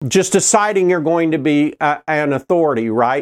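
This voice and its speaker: Speaking with an American accent, this voice keeps a moderate pace and lively intonation. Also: man. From Oklahoma. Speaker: internet marketer. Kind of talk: direct-to-camera video talk. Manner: casual, with filler words.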